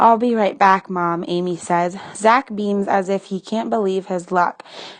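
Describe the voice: Plain reading aloud from start to finish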